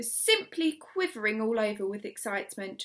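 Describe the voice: Lively intonation in a bright, sharp tone. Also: woman.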